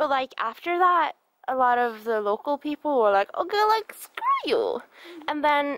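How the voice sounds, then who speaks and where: Someone talks at a fairly slow pace, the sound dry with no echo. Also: woman. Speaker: vlogger exploring. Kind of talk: casual vlog chat. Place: tunnel cave. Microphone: phone near.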